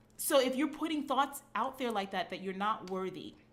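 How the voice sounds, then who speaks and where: Animated and in a Brooklyn accent, a woman speaks with a bright, sharp tone. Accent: New York (Brooklyn). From New York (Brooklyn). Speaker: fitness coach. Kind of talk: live stream monologue. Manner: animated, casual.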